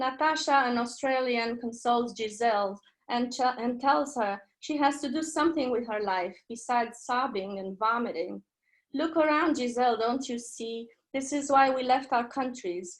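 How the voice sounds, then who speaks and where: A woman's high voice with a Romanian accent, ordinary pitch variation and moderate pace, over a quiet background. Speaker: poet. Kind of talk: poetry reading. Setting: video call.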